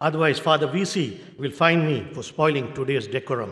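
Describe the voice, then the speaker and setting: Noticeable background noise runs under this recording. A man speaks at a moderate pace in a fairly high pitch. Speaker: convocation speaker, alumnus. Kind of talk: convocation address. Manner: formal.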